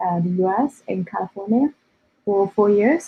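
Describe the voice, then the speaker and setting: This woman's voice is somewhat breathy. It sits at a medium pitch. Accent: non-native. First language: not English. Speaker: data scientist and developer. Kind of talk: interview. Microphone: connection drops.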